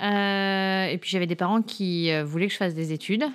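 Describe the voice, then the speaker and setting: Speaking at a moderate pace, the woman uses a medium pitch. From France, Paris. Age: 40s. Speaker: career changer, sales trainee. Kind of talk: podcast interview. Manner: hesitant, many fillers.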